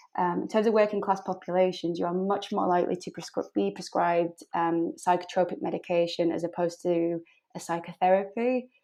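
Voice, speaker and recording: Speaking at a fairly quick pace with hardly any pauses, a woman uses a fairly low pitch, a dark, mellow tone and fairly even intonation. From South Yorkshire, England (Barnsley). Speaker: clinical psychologist. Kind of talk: podcast interview. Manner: frequent 'um' fillers.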